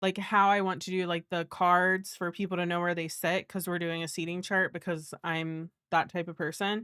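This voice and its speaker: A woman's fairly low-pitched voice with a bright, sharp tone, monotone, flat intonation, a moderate pace and hardly any pauses, in a dry, close sound with no echo on a very clean recording with a silent background. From Cincinnati, Ohio (west side). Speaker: reading livestream host. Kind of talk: casual livestream chat. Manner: casual, filler-heavy.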